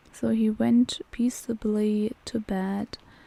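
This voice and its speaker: A woman speaks in a German accent at a fairly high pitch. Her tone is calm. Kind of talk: bedtime story reading. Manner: soft-spoken, calm.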